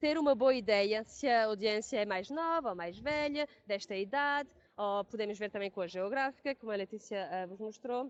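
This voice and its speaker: Fairly high-pitched woman's voice with a European Portuguese accent. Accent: European Portuguese accent, noticeable. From Portugal. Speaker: pre-sales engineer; webinar presenter. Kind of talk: webinar product presentation; webinar presentation. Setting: online webinar. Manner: halting, many fillers and restarts. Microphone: video call.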